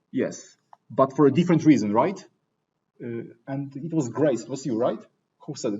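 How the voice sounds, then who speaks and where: Speaking at a moderate pace with a non-native accent, this man has a somewhat breathy voice, fairly high in pitch, with ordinary pitch variation. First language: not English. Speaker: teaching assistant leading engineering discussion section. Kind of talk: lecture. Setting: classroom with students. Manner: conversational, interactive.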